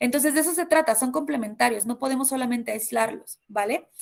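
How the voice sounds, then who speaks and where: Speaking at a fairly quick pace, this woman has a high pitch. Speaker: university lecturer. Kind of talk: online lecture. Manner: fast.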